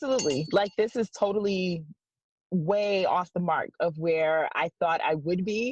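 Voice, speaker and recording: A woman with an American accent speaks at a fairly slow pace and medium pitch with lively intonation, the sound dry and close with no echo against a quiet background. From Detroit, Michigan. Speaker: sports journalist and podcast host. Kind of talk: casual interview. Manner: animated.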